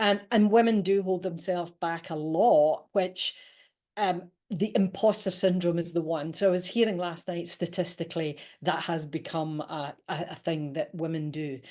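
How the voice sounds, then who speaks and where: A woman's fairly low, dark, mellow voice in a Scottish accent, with ordinary pitch variation and a moderate pace, over a quiet background. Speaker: leadership coach and author. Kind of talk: interview.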